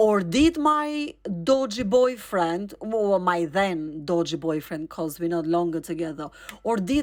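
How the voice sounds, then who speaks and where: Her pitch swinging very widely, a woman talks in an animated tone at a fairly slow pace. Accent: non-native. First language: not English. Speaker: storyteller. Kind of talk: personal storytelling.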